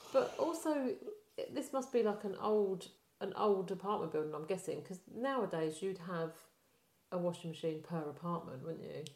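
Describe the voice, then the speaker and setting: Speaking with a British accent, a woman uses lively intonation, a medium pitch and a moderate pace. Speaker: podcast co-host. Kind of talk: casual chat, movie review podcast.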